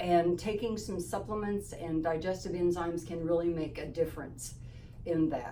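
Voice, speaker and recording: Noticeable background noise and audible room echo accompany a woman speaking at a fairly low pitch with ordinary pitch variation. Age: 70s. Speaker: holistic health practitioner. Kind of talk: informational talk to camera. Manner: casual with fillers.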